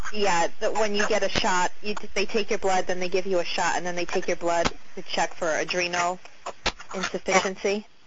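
Over noticeable background noise and audible room echo, the voice holds a flat monotone at a moderate pace. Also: woman, medium pitch for a woman. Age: 30s. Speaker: caller. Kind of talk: phone-in question.

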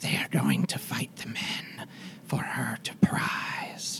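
Whispering in a put-on character voice, the speaker goes at a very slow pace. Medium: actual play. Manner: clipped broken grammar.

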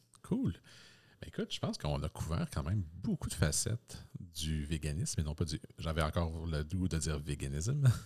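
Somewhat breathy, this voice has a Quebec accent, ordinary pitch variation and a moderate pace. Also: man, very deep, low pitch for a man. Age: 30s. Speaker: podcast host. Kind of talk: casual chat.

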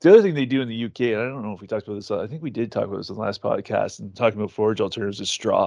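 With a Canadian accent, a man speaks very fast at a medium pitch, with ordinary pitch variation, hardly any pauses, and a quiet background. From Ontario, Canada. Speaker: equine nutrition company owner. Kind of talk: podcast interview.

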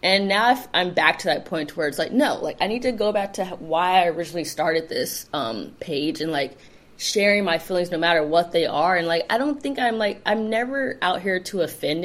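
A woman with a Californian accent talks at a fairly low pitch with lively intonation. Her pace is fairly quick, with hardly any pauses. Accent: Californian American English. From Los Angeles, South Bay. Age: 30s. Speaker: community founder. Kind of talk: casual interview chat.

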